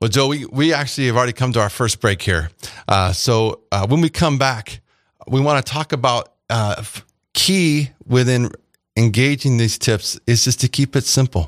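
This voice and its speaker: An unremarkable speaking voice at a moderate pace with ordinary pitch variation, on a very clean recording with a silent background. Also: man, medium pitch for a man. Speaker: radio host. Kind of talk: radio show conversation. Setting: radio studio. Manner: warm, friendly, conversational.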